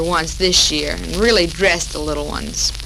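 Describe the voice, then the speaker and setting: A woman with an American accent speaks at an even, middling tempo while noticeable noise carries on behind her. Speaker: radio show host. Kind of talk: 1940s radio talk show.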